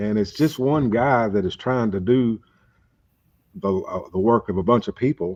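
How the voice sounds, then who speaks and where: A man with an American accent talks at a moderate pace. His pitch varies in an ordinary way, and the background is quiet. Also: medium pitch for a man. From Kentucky. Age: 60s. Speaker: catfish angler. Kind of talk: casual chat.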